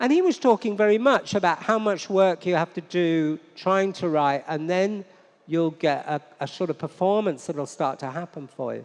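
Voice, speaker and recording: A man speaks at a high pitch and a moderate pace. His pitch variation is ordinary, and the background is quiet. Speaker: novelist and translator. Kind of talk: onstage interview Q&A. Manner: hesitant, many repetitions and restarts.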